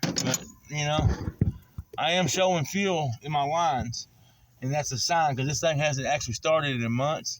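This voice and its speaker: A man with a Southern US accent and a fairly high voice, long, frequent pauses and noticeable background noise. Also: ordinary pitch variation. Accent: country Southern drawl, says he talks funny. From southern Oklahoma. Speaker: mechanic. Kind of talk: casual how-to vlog. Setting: outdoors. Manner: casual, folksy.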